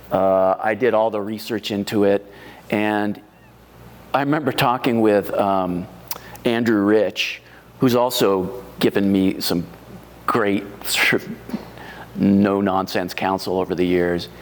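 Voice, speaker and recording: A man with an American accent speaks at a very slow pace. His intonation is fairly even, broken by long, frequent pauses. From US Northeast. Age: 60s. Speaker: wine writer and home winemaker. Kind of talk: oral history interview. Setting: library. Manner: halting, many fillers.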